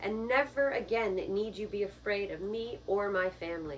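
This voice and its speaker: A woman uses a put-on character voice at a medium pitch and a moderate pace, with clear background noise. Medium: read story.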